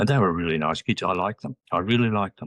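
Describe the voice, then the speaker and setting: The voice belongs to a man. His accent is Australian. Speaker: retired educator. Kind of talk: interview.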